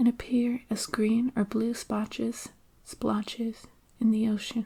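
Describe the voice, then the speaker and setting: Soft-spoken and calm, the speaker talks at a fairly slow pace. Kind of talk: ASMR science explanation, soft-spoken educational narration. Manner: soft-spoken, calm, relaxing.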